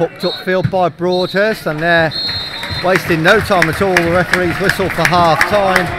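With music in the background, a man speaks at a moderate pace and a high pitch, with fairly even intonation and a dry sound with no echo. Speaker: football commentator. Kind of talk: live football commentary. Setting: stadium, radio broadcast.

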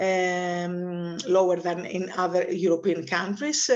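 A fairly slow pace over a quiet background. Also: woman. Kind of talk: webinar presentation. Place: home room. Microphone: video call.

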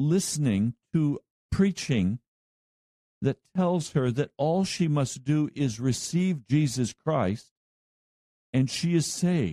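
Speaking very slowly, a man with a fairly high pitch uses lively intonation and a dark, mellow tone. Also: dry, close sound with no echo. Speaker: pastor. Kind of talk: radio sermon. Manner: slow, methodical.

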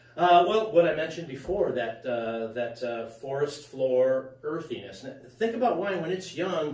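A man talks at a fairly slow pace amid audible room echo. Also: slightly mellow tone.

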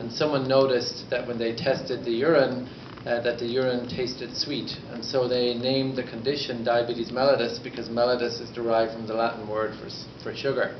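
A man delivers flat, monotone speech at a fairly quick pace amid noticeable background noise. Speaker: conference speaker. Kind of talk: lecture. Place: hall. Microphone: camera far.

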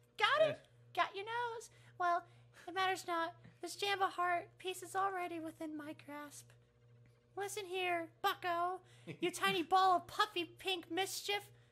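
A woman speaks at an extremely high pitch and a moderate pace. Her loudness swings widely. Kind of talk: comic overacting. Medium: game stream. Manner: pompous, sneering, dramatic.

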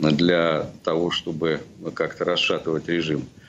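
Light background noise is present. A man speaks at a fairly slow pace. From Russia. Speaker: opposition journalist, former MP; remote guest commentator. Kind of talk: live TV interview commentary. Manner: halting, many fillers and repetitions. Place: home room. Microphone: video call.

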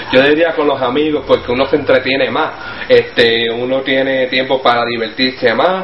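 With audible room echo and light background noise, a man speaks at a moderate pace with fairly even intonation. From Puerto Rico. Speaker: Spanish learning interviewee. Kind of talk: casual interview answer. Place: home room. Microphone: webcam.

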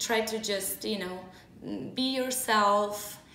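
A woman's voice with ordinary pitch variation, light background noise, and audible room echo. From Moldova. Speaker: metal band vocalist and YouTuber; YouTuber. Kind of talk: casual vlog storytelling. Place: home room.

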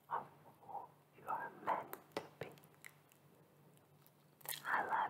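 Long, frequent pauses break up a whisper that moves at a fairly slow pace. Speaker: ASMR creator. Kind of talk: ASMR positive affirmations. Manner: whispered; soft, slow, relaxing. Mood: soothing, warm. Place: home room. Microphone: studio mic.

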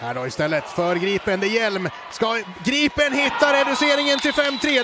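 There is noticeable background noise behind this man's raised, projected voice. He keeps a moderate pace, and his intonation is lively. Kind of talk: live sports commentary on bandy highlights.

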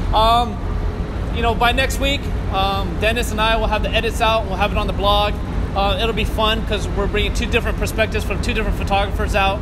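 The speech moves at a very fast pace over loud background noise. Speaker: car photographer host. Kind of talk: casual vlog chat. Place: tunnel cave.

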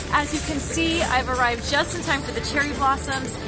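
A woman at a moderate pace, dry with no echo, over loud background music. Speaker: travel vlogger. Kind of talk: casual vlog chat. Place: street.

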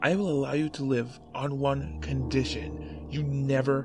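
Over clear background music, a man at medium pitch puts on a raspy, hissing character voice.

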